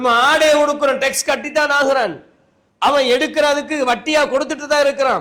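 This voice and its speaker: An extremely high-pitched male voice, bright and sharp in tone, in a flat monotone. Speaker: Islamic scholar giving a Friday sermon. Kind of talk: Friday sermon (khutbah) to a mosque congregation. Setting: mosque, live sermon.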